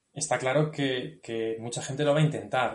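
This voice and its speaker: This is a man's voice. His intonation stays monotone and flat. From Spain, Guadalajara province. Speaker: cycling route creator. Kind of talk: interview.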